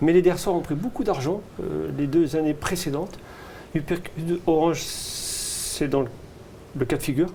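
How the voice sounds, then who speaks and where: With long, frequent pauses, a man speaks at a fairly high pitch with ordinary pitch variation. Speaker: horse racing tipster. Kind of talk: racing tips discussion. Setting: studio. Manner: fast; animated.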